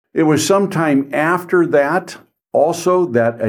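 A man speaks with a US Midwestern accent. The recording is very clean, with a silent background. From Ohio, US Midwest. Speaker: estate planning attorney. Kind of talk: podcast monologue.

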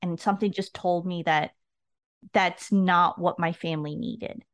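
A woman's plain, everyday voice at medium pitch, moderate in pace, over a quiet background. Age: 40s. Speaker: retired army officer. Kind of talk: interview conversation.

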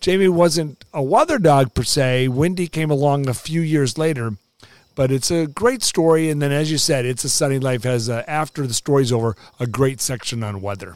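A man speaks in a normal speaking voice, fairly high in pitch. His pace is moderate and his pitch variation ordinary. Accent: American. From US West Coast, Los Angeles. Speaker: meteorologist. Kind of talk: casual interview.

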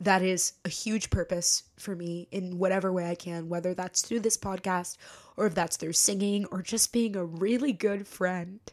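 On a very clean recording with a silent background, a woman speaks at a moderate pace and medium pitch with fairly even intonation. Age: 20s. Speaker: podcast host and stage actress. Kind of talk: personal reflective monologue. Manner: casual, unscripted.

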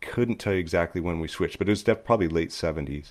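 A man with an American accent, against a quiet background. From Southern California (Upland). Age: 50s. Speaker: photographer and author. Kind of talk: casual interview chat.

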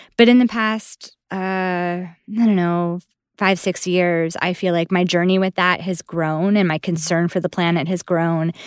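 A woman with an American accent has a plain, everyday voice, fairly low in pitch, with fairly even intonation at a fairly slow pace. The sound is dry and close with no echo, a very clean recording with a silent background. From Buffalo, New York, US. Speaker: dancer and voice actor. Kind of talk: casual chat.

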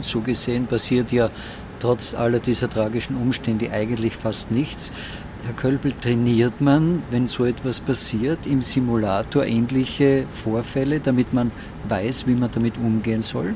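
Against noticeable background noise, a man speaks at a fairly slow pace and medium pitch with fairly even intonation. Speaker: podcast host. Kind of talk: interview. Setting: flight simulator.

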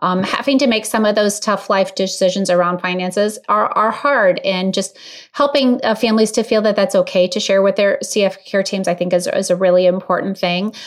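A woman's unremarkable speaking voice, medium in pitch and fairly quick, with fairly even intonation and very even loudness. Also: hardly any pauses. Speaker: clinical social worker. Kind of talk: expert interview.

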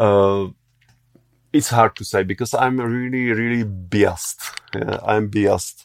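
Speaking in a Czech accent, a man keeps a fairly slow pace and fairly even intonation, with long, frequent pauses. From Czech Republic. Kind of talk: interview. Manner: halting.

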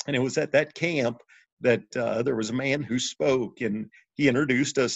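A man with a Midwestern American accent speaks at medium pitch with vocal fry. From Missouri, St. Louis area. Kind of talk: faith testimony in interview.

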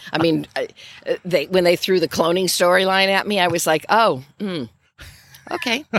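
A woman with an American accent talks at a moderate pace in a medium pitch. Her pitch varies in an ordinary way, broken by long, frequent pauses. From Michigan, Grand Rapids. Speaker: actor. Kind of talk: interview chat. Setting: outdoors.

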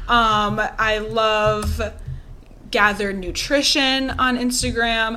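A woman's fairly high voice in an American accent, very slow and with fairly even intonation, amid audible room echo. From Wisconsin. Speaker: eatery founder and nutrition coach. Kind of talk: casual interview chat.

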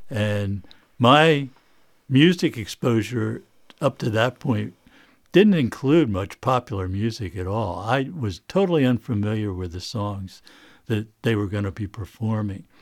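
Lively intonation marks this man's medium-pitched voice at a fairly slow pace. The recording is very clean, with a silent background. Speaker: recording engineer and studio owner. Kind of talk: interview answers, casual. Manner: conversational, some hesitations.

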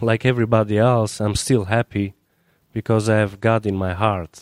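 In an Albanian accent, a man talks at a moderate pace and medium pitch with fairly even intonation, the sound dry and close with no echo on a very clean recording with a silent background. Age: young. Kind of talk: interview.

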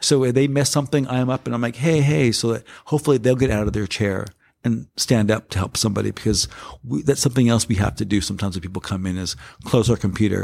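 Very fast and medium-pitched, a man speaks with an American accent and ordinary pitch variation. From South Central Los Angeles. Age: 50s. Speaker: hospitality and community lead. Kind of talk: interview conversation. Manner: halting, many fillers.

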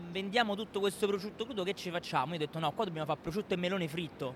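A high-pitched man with ordinary pitch variation and hardly any pauses. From Rome, Italy. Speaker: pizzeria owner. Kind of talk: interview.

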